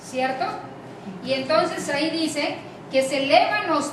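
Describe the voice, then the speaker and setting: Against noticeable background noise and audible room echo, a woman speaks at a very slow pace in a high pitch. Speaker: lecturer. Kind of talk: lecture. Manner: frequent filler words and hesitations.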